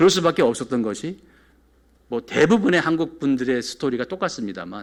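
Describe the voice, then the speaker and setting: Using a fairly high voice with vocal fry, a man talks at a moderate pace. His pitch swings very widely. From South Korea, moved to New York at 14. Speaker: pastor. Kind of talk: sermon. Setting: church.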